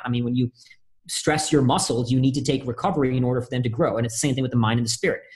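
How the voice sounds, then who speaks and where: This man has an American accent and a medium-pitched, somewhat breathy voice. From India, then Austin, Texas as a teen. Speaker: Marine veteran, speaker, author, adventurer. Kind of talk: interview conversation.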